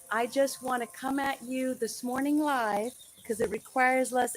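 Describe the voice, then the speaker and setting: In an American accent, a woman speaks at a high pitch and a moderate pace. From United States. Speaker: registered nurse. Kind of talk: educational live stream talk to camera. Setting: live stream over poor connection. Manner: casual, conversational.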